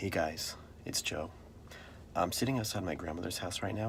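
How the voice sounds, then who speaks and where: A man whispers. The room echo is audible, and there is noticeable background noise. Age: 30s. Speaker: vlogger. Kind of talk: casual chat. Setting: in a car. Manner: whispering.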